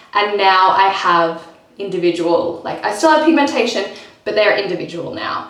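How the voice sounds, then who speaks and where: With lively intonation at a moderate pace, a woman of medium pitch speaks amid audible room echo and noticeable background noise. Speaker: lifestyle vlogger. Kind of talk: casual vlog talking to camera.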